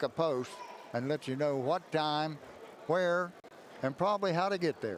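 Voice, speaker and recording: Speaking with an Appalachian accent, a man keeps a moderate pace. His pitch variation is ordinary. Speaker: sports commentator. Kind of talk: casual chat.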